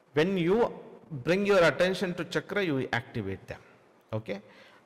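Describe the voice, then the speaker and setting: Lively intonation and a Kannada accent come through over noticeable background noise. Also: man. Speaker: spiritual teacher. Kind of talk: Q&A session answering viewer questions. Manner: halting, many fillers.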